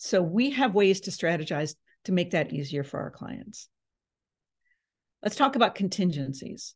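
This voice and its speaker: Against a quiet background, a woman with a medium pitch and a somewhat breathy voice speaks with long, frequent pauses. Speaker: real estate agent. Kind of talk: seminar presentation. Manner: fast.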